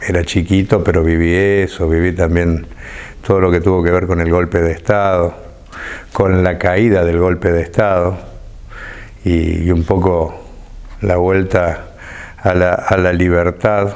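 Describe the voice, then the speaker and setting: In a very deep, low voice, a man speaks fairly slowly and in a flat monotone, keeping his loudness very even and leaving long, frequent pauses. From Argentina, Córdoba. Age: 50s. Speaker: left-wing politician. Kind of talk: interview. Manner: halting, with many repetitions.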